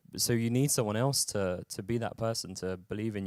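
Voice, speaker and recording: Speaking in a London accent at a moderate pace, a man with medium pitch and fairly even intonation is heard on a very clean recording with a silent background. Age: 30s. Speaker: mental health campaigner. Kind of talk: talk. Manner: halting, many repetitions and fillers.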